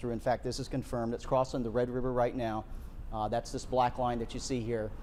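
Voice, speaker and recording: A man with an American accent, medium-pitched with a dark, mellow tone, monotone and flat, at a fairly quick pace. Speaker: broadcast meteorologist. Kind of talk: live severe weather TV broadcast. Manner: urgent, fast.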